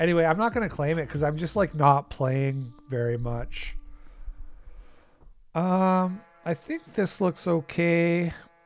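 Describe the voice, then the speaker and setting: Mumbling at a fairly slow pace, a man speaks with a high pitch, ordinary pitch variation and long, frequent pauses, in a very clean recording with a silent background. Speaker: gaming streamer. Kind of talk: live gameplay commentary. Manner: low energy.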